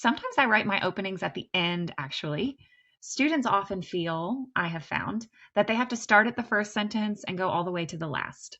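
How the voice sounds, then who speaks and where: A woman in a Kentucky Appalachian accent, medium pitch, lively intonation, at a fairly quick pace. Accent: Kentucky mountain. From US, Kentucky (Appalachian). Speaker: teacher, writing instructor. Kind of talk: lecture.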